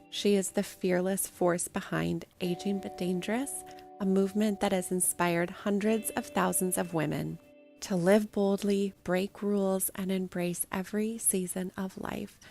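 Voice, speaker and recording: Music plays in the background as a woman talks. Her medium pitch carries fairly even intonation at a moderate pace. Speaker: podcast host. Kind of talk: podcast intro.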